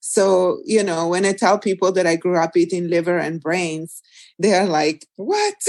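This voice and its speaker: A woman with an Italian accent, medium in pitch, in a monotone, flat intonation at a moderate pace, against a quiet background. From Italy, small mountain village. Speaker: nutritionist and cookbook author. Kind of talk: interview conversation.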